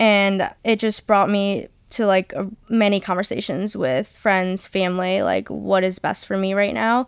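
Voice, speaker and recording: In a plain, everyday voice with an American accent, the speaker talks at a fairly slow pace with ordinary pitch variation on a very clean recording with a silent background. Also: woman, medium pitch for a woman. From Michigan. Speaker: college soccer player. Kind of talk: casual interview.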